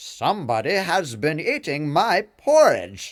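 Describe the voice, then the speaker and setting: A man's growling, put-on character voice, high-pitched, at a fairly slow pace with very wide pitch swings. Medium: read story.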